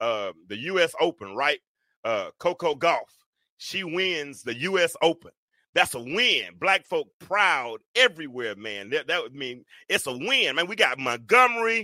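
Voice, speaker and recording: A man's high-pitched voice with a bright, sharp tone and very wide pitch swings at a fairly slow pace, dry and close with no echo, on a very clean recording with a silent background. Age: 50s. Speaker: podcast host. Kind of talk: casual chat. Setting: live stream with chat. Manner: animated.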